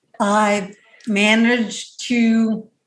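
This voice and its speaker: A fairly high, somewhat breathy voice from a woman. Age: 60s. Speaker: author and blogger. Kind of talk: interview. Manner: halting.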